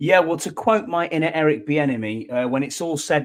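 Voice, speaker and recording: Here a man with a fairly high pitch talks at a moderate pace with ordinary pitch variation. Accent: Northumbrian. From northern England, Northumberland. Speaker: podcast co-host. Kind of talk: casual chat.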